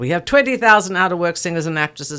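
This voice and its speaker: With a South African accent, a woman speaks at a very fast pace in a fairly low pitch. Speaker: perfumer. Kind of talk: interview.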